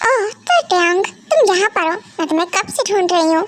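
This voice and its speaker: Using a put-on character voice, a woman talks fairly quickly in an extremely high, squeaky pitch, her loudness staying very even. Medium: fan dub. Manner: hesitant, halting, full of fillers.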